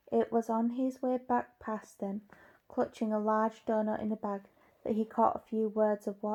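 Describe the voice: What you hear is plain reading aloud.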